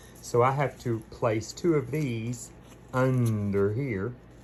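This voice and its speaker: A man whispers while noticeable background noise carries on. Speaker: theater costumer vlogger. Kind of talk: casual vlog narration. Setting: in a car. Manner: whispering backstage.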